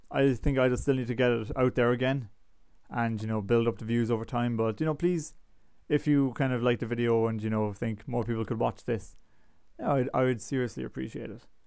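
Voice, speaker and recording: A man with a normal speaking voice, medium in pitch, fairly even in intonation and fairly quick in pace. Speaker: gaming YouTuber. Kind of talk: casual vlog talk. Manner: casual, filler-heavy.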